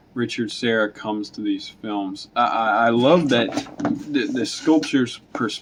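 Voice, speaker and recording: A man talks at a fairly slow pace with a medium pitch and ordinary pitch variation. Noticeable background noise can be heard behind him. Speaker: film review youtuber. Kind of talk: casual video review monologue. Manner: halting, many fillers and restarts.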